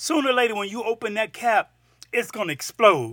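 Projecting a raised voice with a bright, sharp tone, a man with an American accent speaks at high pitch with ordinary pitch variation, in a dry, close sound with no echo on a very clean recording with a silent background. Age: 50s. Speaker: podcast host. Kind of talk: personal monologue. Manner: halting.

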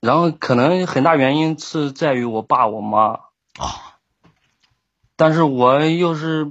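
With a Shandong accent, a man speaks at a very slow pace. His pitch is fairly high, and he leaves long, frequent pauses. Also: ordinary pitch variation. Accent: Shandong dialect, weak Mandarin. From southern Shandong, near Henan and Anhui. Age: 20s. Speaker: caller. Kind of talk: call-in advice chat. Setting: online voice call.

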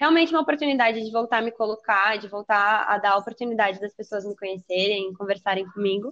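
In a normal speaking voice, a woman talks at a fairly quick pace, her pitch varying in an ordinary way. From São Paulo state, Brazil (São Paulo city and Taubaté). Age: 20s. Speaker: podcast guest. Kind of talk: casual chat.

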